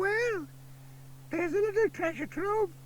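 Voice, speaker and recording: With clear background noise behind him, a man does a squeaky, put-on character voice at an extremely high pitch and a moderate pace. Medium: read story. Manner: grumbling, gossipy.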